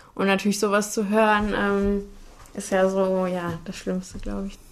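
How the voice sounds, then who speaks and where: A woman's medium-pitched voice stays monotone and flat, moving at a moderate pace. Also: quiet background. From Cologne area, western Germany. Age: 20s. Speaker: student, amputee telling her story. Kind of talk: casual interview at home. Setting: at home in her kitchen.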